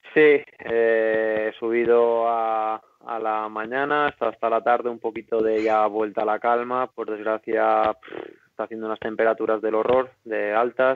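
Speaking at a fairly slow pace, a man with a medium pitch keeps a monotone, flat intonation. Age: 30s. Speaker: professional freeride skier. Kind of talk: casual interview.

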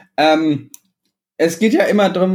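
A man's pitch variation is ordinary as he talks at a moderate pace. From Bavarian Swabia, southern Germany (Illertissen). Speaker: podcast co-host. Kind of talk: casual chat. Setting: remote recording. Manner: hesitant, many fillers.

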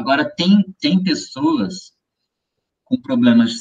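Intonation is lively. The pace is very slow. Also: man. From interior of São Paulo state, Brazil (Ribeirão Preto). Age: 40s. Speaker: musician, guitarist. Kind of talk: casual interview chat.

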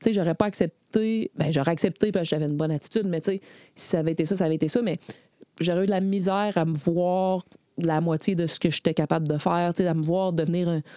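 A woman with a fairly low pitch and a dark, mellow tone speaks at a fairly quick pace with fairly even intonation, in a dry, close sound with no echo on a very clean recording with a silent background. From Quebec, Beauport (Quebec City). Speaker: former soccer goalkeeper and goalkeeper coach. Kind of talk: interview.

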